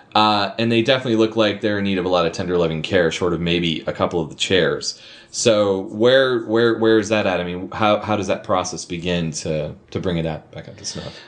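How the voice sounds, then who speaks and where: Talking at a fairly quick pace with an American accent, a man with a fairly low pitch has an unremarkable speaking voice, ordinary pitch variation and big swings in loudness. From Minnesota. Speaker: podcast host. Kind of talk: casual interview chat.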